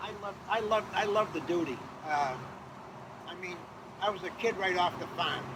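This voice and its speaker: Against noticeable background noise, a man with a high pitch talks at a moderate pace with ordinary pitch variation and long, frequent pauses. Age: 80s+. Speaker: war veteran. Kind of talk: interview answer.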